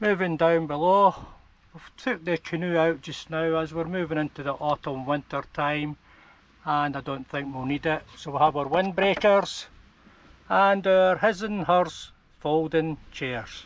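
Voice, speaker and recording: Speaking fairly slowly, a man with a Scottish accent has a fairly high pitch. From Scotland. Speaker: campervan travel vlogger. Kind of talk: tutorial.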